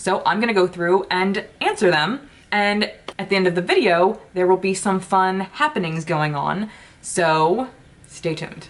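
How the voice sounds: A woman with a medium pitch speaks at a fairly slow pace, using ordinary pitch variation and few pauses.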